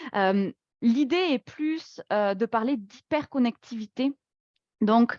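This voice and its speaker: A woman with a slight southwestern French accent speaks at a very slow pace in a high voice. The background is quiet and the sound is dry and close with no echo. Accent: slight southwest French. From southwest France, Toulouse. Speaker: workplace wellbeing speaker. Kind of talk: webinar presentation. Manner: hesitant, many fillers.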